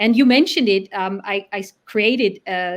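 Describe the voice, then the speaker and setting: The recording is very clean with a silent background as a woman speaks at a moderate pace and a medium pitch. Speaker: brand strategy consultant. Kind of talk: live-stream interview chat. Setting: live stream. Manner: hesitant with frequent fillers and repeats.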